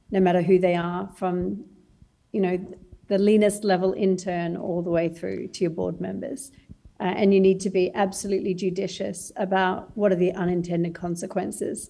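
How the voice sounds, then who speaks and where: A woman speaks at a moderate pace with an Australian accent, her medium-pitched voice dark and mellow in tone and her intonation flat and monotone. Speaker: startup founder. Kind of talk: panel discussion.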